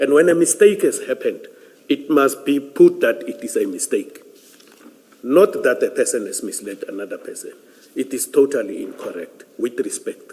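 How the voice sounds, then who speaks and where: Noticeable background noise sits behind a man who leaves long, frequent pauses. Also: moderate pace, big swings in loudness. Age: 60s. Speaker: police general testifying at an inquiry. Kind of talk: testimony. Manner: halting.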